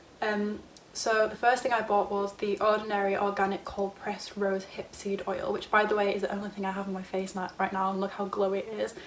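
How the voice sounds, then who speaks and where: Speaking fairly quickly with hardly any pauses, a woman with a British accent uses a medium pitch against noticeable background noise. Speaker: YouTuber. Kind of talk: casual haul video. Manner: fast; animated.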